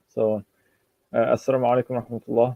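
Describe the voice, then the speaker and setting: Here a man talks at a medium pitch with a monotone, flat intonation. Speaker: imam and Islamic teacher, public speaker. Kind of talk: Arabic opening invocation with praise and blessings. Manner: explanatory, rhetorical, mixing Arabic phrases into English.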